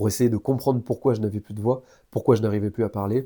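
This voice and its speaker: At a fairly quick pace, a man with a dark, mellow tone speaks with fairly even intonation, the sound dry and close with no echo. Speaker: YouTuber on health and self-improvement. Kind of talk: personal testimony. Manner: casual, with hesitations.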